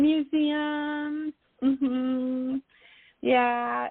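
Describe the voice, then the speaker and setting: A woman speaks at a high pitch. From United States. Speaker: author. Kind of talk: interview. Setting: radio show.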